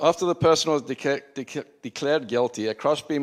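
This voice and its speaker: A man with a South African accent talks at a fairly quick pace with ordinary pitch variation, captured on a very clean recording with a silent background. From Zimbabwe and South Africa. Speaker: preacher. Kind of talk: sermon. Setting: church.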